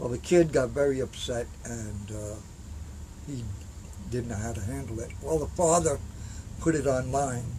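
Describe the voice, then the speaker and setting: There is audible room echo around a man's voice. He talks at a moderate pace with long, frequent pauses. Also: medium pitch for a man, lively intonation. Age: 60s. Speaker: Vietnam war veteran. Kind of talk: interview. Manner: halting, many fillers.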